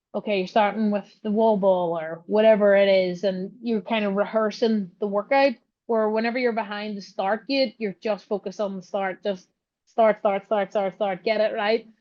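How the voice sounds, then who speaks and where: A woman at medium pitch and a moderate pace, her intonation monotone and flat. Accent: Northern Irish. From Northern Ireland. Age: 30s. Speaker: ATV racer and CrossFit athlete. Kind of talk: podcast interview. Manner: casual, filler-heavy.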